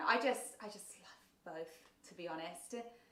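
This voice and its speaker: Someone talks at a moderate pace with ordinary pitch variation amid audible room echo. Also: woman. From southern England, south coast. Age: 30s. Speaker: baking content creator. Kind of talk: livestream chat reading viewer comments. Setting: livestream. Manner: casual, filler-heavy.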